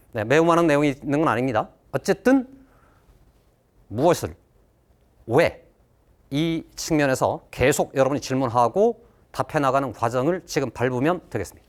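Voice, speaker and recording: On a very clean recording with a silent background, a man with a fairly high pitch speaks at a moderate pace. He uses ordinary pitch variation and long, frequent pauses. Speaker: math teacher. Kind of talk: lecture.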